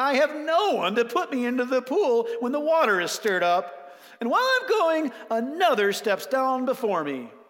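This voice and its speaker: In a put-on character voice, the speaker sounds whiny, with fairly high pitch and a moderate pace. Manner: complaining, pitiful.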